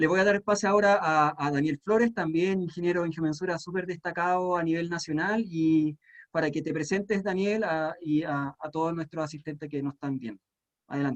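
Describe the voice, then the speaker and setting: A man with a Chilean accent speaks at a fairly quick pace in a high voice with ordinary pitch variation. The sound is dry and close, with no echo. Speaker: panel moderator. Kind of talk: panel discussion.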